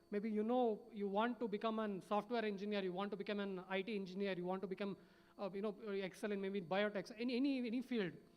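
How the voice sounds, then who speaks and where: Talking very fast, a man uses a high pitch and fairly even intonation. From India, Hubballi, Karnataka. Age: 20s. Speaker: startup founder, panelist. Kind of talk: motivational panel talk. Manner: halting, many fillers.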